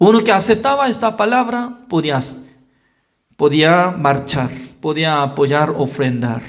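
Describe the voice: Fairly high in pitch, a man talks at a fairly slow pace with lively intonation.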